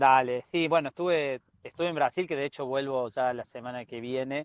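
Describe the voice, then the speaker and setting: Fairly even intonation carries speech delivered at a fairly quick pace. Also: man, fairly high pitch for a man. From Argentina, Córdoba (Río Cuarto). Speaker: energy researcher, doctoral student. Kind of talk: radio interview.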